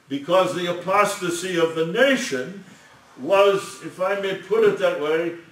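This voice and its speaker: Amid audible room echo, a man speaks at a high pitch with ordinary pitch variation. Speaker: lecturer on scripture. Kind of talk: sermon.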